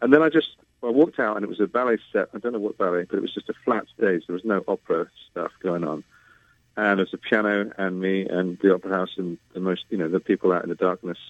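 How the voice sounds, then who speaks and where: Speaking very fast with a British accent, a man uses a fairly low pitch and ordinary pitch variation. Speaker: bass baritone singer. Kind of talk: interview conversation. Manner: hesitant, many fillers.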